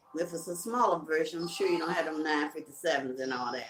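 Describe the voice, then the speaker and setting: A woman is speaking. She has a Southern US accent. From Carolinas, US South. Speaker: live-stream host, music promoter. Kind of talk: casual live-stream chat. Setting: live video stream.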